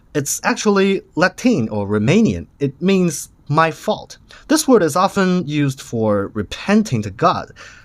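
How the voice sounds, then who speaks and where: A man with a Chinese accent speaks fairly slowly in a high voice, his pitch swinging very widely, on a very clean recording with a silent background. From China. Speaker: vape reviewer. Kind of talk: product review.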